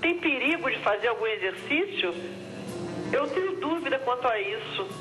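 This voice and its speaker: Music plays behind a woman who speaks at a moderate pace in a high voice with very wide pitch swings and very even loudness. There is audible room echo. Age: 60s. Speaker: TV viewer caller. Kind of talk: phone-in question.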